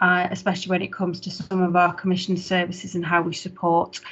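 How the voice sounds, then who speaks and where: Somewhat breathy, a woman speaks at medium pitch. Her intonation stays monotone and flat. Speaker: head of council adult social care service. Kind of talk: formal report presentation at council meeting. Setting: online video meeting. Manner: fast.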